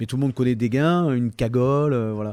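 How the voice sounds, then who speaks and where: A man speaks in a Provençal accent with a dark, mellow tone. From Toulon, Provence. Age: 50s. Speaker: humorist, musician, actor. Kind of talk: interview answer. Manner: hesitant, casual.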